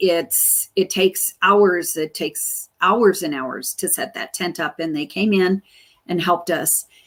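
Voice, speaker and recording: Medium pitch from a woman speaking. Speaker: chamber of commerce director, livestream host. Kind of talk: live community update. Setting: Facebook live stream. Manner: slow.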